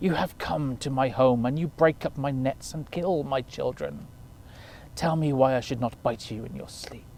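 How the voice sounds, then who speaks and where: A man's put-on character voice at a medium pitch and moderate pace, hissing, with clear background noise. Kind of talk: formal, accusing.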